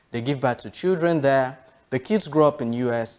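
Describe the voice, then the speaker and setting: A man is speaking. He has a Yoruba accent. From Nigeria. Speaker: TV show host. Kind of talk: interview.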